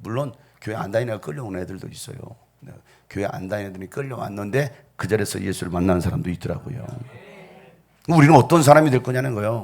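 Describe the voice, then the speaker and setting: Speaking very fast at medium pitch, a man uses lively intonation and big swings in loudness, broken up by long, frequent pauses. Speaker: pastor. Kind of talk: sermon. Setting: church.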